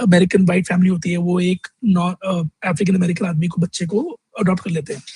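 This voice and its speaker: A man with a Delhi accent speaks at a high pitch with fairly even intonation, the sound dry and close with no echo. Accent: Indian English (Delhi). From North India (Delhi). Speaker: vlogger. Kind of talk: casual vlog monologue. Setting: outdoors in the sun at a fast-food restaurant.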